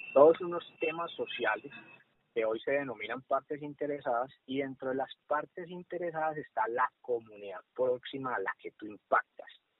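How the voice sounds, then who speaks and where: In a plain, everyday voice, a man speaks at a fairly high pitch with ordinary pitch variation. His pace is moderate. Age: 30s. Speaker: social worker, HR manager. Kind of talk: casual interview.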